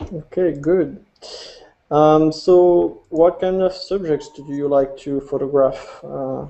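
Over a quiet background, a man talks at a very slow pace in a fairly high pitch with fairly even intonation. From France. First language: French. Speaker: podcast host and amateur photographer. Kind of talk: casual chat. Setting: video call. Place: home room. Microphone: video call.

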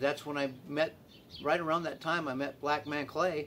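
With light background noise, a man speaks at a moderate pace in a fairly high pitch. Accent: American. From Tucson, Arizona; Arizona. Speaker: community drum group organizer; interviewee. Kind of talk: casual interview. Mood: warm, encouraging. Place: garden. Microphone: camera far.

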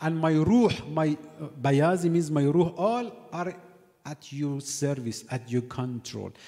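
A man with ordinary pitch variation, fairly slow pace and a quiet background. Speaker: cleric lecturer. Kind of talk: sermon. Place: church. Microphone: studio mic.

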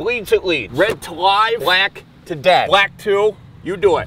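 Over light background noise, a man projects a raised voice at a moderate pace with ordinary pitch variation, the sound dry with no echo. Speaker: comic father character. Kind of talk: comedic skit dialogue. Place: street. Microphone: phone near.

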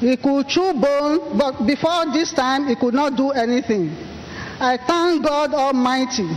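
Noticeable background noise sits behind a woman with a high pitch. She speaks at a fairly slow pace with ordinary pitch variation. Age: 60s. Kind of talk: church testimony.

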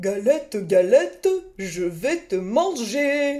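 A put-on character voice, growling at a fairly high pitch and a very slow pace. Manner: growling, threatening.

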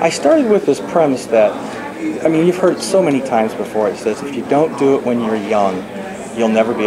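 Over noticeable background noise, a man talks at a moderate speed. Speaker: novelist. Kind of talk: interview. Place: meeting room.

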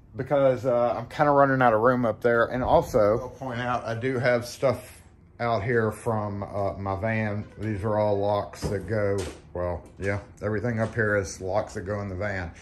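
Against light background noise, a man with a plain, everyday voice talks at a moderate pace, his fairly low pitch following fairly even intonation. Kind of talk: casual vlog chat. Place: shop. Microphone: phone near.

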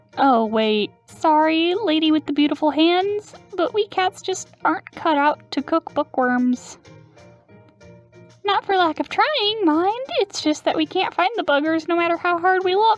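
A man puts on a character voice at an extremely high pitch, talking at a moderate pace with faint music in the background. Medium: actual play. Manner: brash, goofy, salesy.

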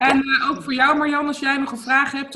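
A woman talks at a moderate pace in a high voice. Light background noise can be heard. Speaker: online video coach and interviewer. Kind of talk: casual interview. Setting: video call. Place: home room. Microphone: webcam.

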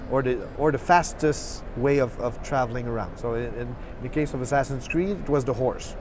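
Noticeable background noise runs beneath a man whose pitch varies in an ordinary way. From Quebec. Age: 40s. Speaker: game developer. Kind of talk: casual chat. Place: hall.

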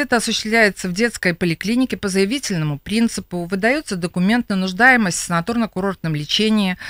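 A woman speaks at a very fast pace. The sound is dry with no echo, over a quiet background. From Belarus. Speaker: city health department head. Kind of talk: radio interview. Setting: radio studio. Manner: halting. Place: studio. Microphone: studio mic.

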